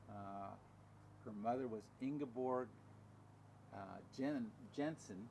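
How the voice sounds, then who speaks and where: Noticeable noise behind the speech, and intonation that stays fairly even. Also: man. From Southern California. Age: 80s+. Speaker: retiree telling his life story. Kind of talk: oral history interview. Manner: halting, with repeated words.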